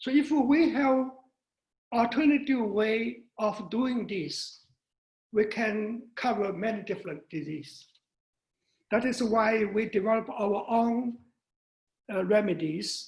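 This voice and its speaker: Speaking at a very slow pace with long, frequent pauses, a man uses a high pitch with ordinary pitch variation. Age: 80s+. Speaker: doctor of Chinese medicine. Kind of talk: interview.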